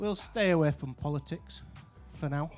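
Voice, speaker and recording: A man speaks with a Yorkshire accent at a fairly high pitch. Music plays in the background. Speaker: interviewer.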